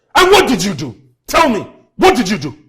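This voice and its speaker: In a put-on character voice at a fairly high pitch, someone is shouting at a fairly quick pace. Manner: shouting angrily.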